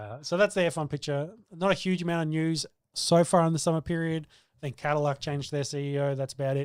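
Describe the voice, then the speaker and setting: Recorded very cleanly against a silent background, a man talks with an Australian accent. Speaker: sports podcast co-host. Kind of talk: casual chat.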